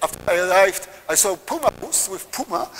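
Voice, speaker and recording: Over light background noise, a man speaks at a fairly quick pace with a high pitch. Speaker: visiting lecturer. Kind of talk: lecture. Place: hall.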